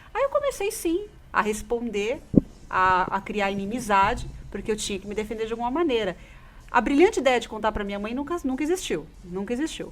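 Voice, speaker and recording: Fairly quick and lively in its intonation, this is an unremarkable speaking voice. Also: woman, fairly high pitch for a woman. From São Paulo state, interior (caipira), Brazil. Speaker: radio host. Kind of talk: personal testimony on a radio talk show.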